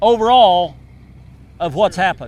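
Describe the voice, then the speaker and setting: In an Oklahoma accent, a man talks with a high pitch. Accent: rural Oklahoma. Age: 60s. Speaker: wheat farmer. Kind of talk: interview.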